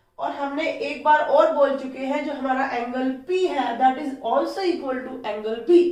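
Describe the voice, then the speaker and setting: A woman with a high voice talks fairly slowly with hardly any pauses and ordinary pitch variation, her loudness swinging widely amid audible room echo and noticeable background noise. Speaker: maths teacher. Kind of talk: tutorial.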